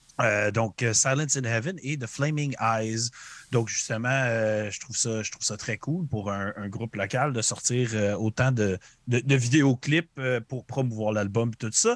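A man with a Quebec accent speaks at a fairly slow pace and a medium pitch. The sound is dry and close, with no echo. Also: ordinary pitch variation. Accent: Québécois French. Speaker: podcast host. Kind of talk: casual podcast chat. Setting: live-streamed video call podcast.

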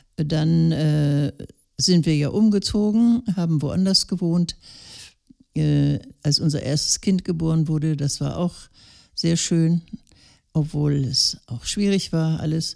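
Very slowly and with long, frequent pauses, a woman speaks in a very deep, low pitch with a dark, mellow tone and ordinary pitch variation. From northern Germany, Lower Saxony (Gifhorn district). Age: 80s+. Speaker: retired elder interviewee. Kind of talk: casual interview.

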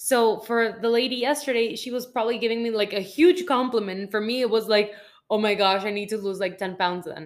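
Talking at a fairly quick pace, a woman with an ordinary speaking voice uses a fairly high pitch and ordinary pitch variation. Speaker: podcast co-host. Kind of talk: casual interview chat.

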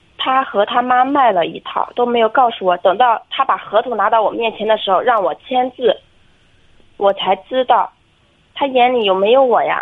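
Her voice is high-pitched. The woman's pitch variation is ordinary. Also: moderate pace. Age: 20s. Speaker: caller seeking marriage advice. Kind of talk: phone-in advice call.

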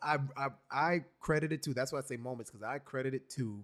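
A man speaks in an unremarkable speaking voice at a medium pitch with an American accent and ordinary pitch variation. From New York City. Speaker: podcast host. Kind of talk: casual chat.

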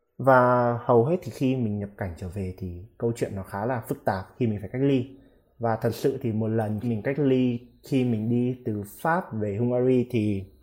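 A man with an unremarkable speaking voice talks at a moderate pace. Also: medium pitch for a man, ordinary pitch variation. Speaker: international student. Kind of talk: casual interview.

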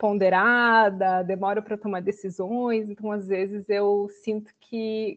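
A woman's fairly high-pitched, plain, everyday voice with fairly even intonation. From Santa Catarina interior, Brazil. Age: 30s. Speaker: social sector worker. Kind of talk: casual chat.

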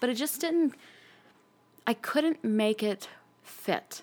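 Speaking in a General American accent, a woman talks very slowly with long, frequent pauses, her fairly high voice swinging very widely in pitch while her loudness stays very even. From US, military family, moved around. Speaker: podcast guest, old friend of host. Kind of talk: casual chat.

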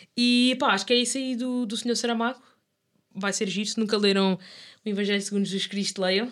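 Fairly high and fairly quick, a woman's unremarkable speaking voice keeps a fairly even intonation. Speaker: podcast co-host. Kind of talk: casual chat.

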